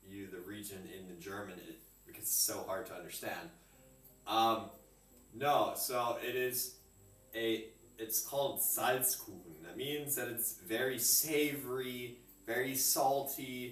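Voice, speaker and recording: A medium-pitched man speaks at a fairly slow pace, with long, frequent pauses and ordinary pitch variation. His loudness swings widely, and the room echo is audible. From Europe. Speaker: home cook streamer. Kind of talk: live cooking stream chat. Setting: kitchen. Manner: loud, projecting.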